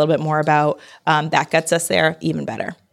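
A woman in an American accent, very deep and low in pitch, very fast, with vocal fry, on a very clean recording with a silent background. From Connecticut, US. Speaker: marketing strategist and women's leadership coach. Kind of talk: interview. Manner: loud.

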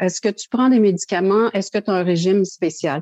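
At a moderate pace and medium pitch, a woman with an unremarkable speaking voice and ordinary pitch variation comes across with a dry, close sound with no echo. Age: 60s. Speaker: kidney foundation chair and living kidney donor. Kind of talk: testimony.

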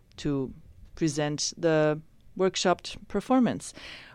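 On a very clean recording with a silent background, a woman speaks with a very deep, low pitch. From Iran, raised in Spain. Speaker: actress. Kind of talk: interview.

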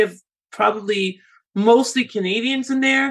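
Vocal fry with fairly even intonation. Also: woman. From Canada. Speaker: podcast host, immigration consultant. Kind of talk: interview.

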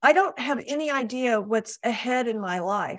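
A woman speaks in a high voice at a fairly slow pace. Her intonation is lively. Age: 60s. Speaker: publisher and book coach. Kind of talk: interview.

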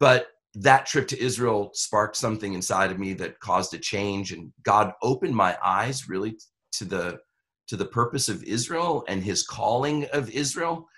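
Against a quiet background, a man with an American accent talks in a normal speaking voice at a medium pitch and moderate pace, with lively intonation. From Brooklyn, New York. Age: 50s. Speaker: pastor. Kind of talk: interview conversation.

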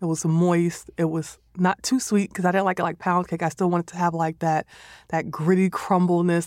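Speaking very fast in an American accent, a woman with a fairly low pitch comes through dry and close with no echo on a very clean recording over a silent background. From New York City (the Bronx). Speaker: chef. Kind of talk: casual chat. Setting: studio.

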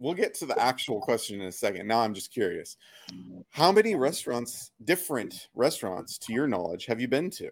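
A man speaks with an American accent and vocal fry. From US Pacific Northwest. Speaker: podcast host, marketing director. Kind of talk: casual interview.

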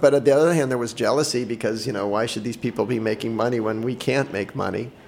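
Over noticeable background noise, a man with an American accent talks at a very fast pace, his medium-pitched voice showing ordinary pitch variation. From Boston, US. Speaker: entrepreneur. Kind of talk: interview. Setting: studio.

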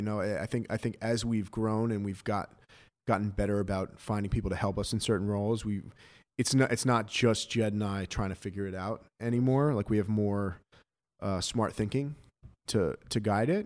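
In a very clean recording with a silent background, a man speaks at a moderate pace with a fairly low pitch and fairly even intonation. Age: 30s. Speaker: sneaker retail entrepreneur. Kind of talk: interview. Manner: halting, many fillers and repeats.

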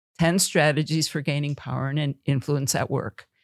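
A woman with a very deep, low pitch speaks in an American accent. The sound is dry and close with no echo, on a very clean recording with a silent background. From Wisconsin, Oconomowoc. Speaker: author and leadership trainer. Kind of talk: interview.

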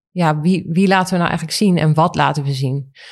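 A woman speaks against a quiet background. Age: 40s. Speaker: fashion magazine editor-in-chief. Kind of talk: interview.

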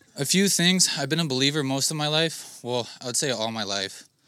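A man's bright, sharp, shaky voice at a moderate pace, lively in intonation, on a very clean recording with a silent background. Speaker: church member giving testimony. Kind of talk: testimony.

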